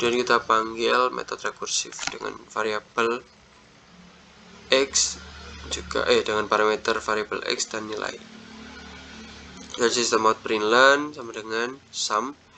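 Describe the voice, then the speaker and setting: Over noticeable background noise, a man speaks in a monotone, flat intonation broken by long, frequent pauses. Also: medium pitch for a man. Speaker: student presenter. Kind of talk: tutorial. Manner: halting.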